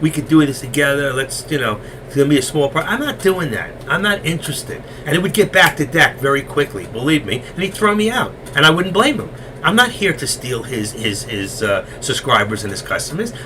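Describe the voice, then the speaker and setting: With a New York accent, this voice moves at a fairly quick pace and swings very widely in pitch over noticeable background noise. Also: man, fairly high pitch for a man. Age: 60s. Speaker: stock trading educator. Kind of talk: live trading stream commentary. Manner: fast.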